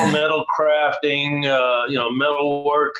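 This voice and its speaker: A man's voice against noticeable background noise. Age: 70s. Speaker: band drummer. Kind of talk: casual chat.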